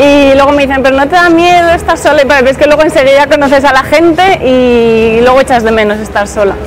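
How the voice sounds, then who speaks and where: Over music in the background, a woman talks very fast at a high pitch, with ordinary pitch variation, hardly any pauses and very even loudness. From Aragon, Spain (Zaragoza). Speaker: office worker and model living abroad. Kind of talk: street interview. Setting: outdoors in a city square.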